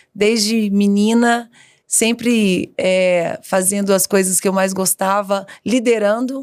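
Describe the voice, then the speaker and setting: A woman's medium pitch at a very slow pace with fairly even intonation. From Brazil, Minas Gerais (Itabira). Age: 40s. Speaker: education executive. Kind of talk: podcast interview.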